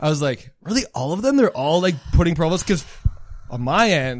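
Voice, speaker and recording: A man with a plain, everyday voice talks at a moderate pace and fairly high pitch, with lively intonation. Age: 30s. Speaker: podcast guest, military veteran. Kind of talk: casual chat.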